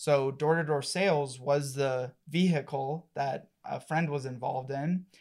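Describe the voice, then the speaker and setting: A normal speaking voice from a man, fairly high in pitch, fairly slow with hardly any pauses and fairly even intonation, on a very clean recording with a silent background. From Colorado. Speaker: marketing agency partner. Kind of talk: casual interview.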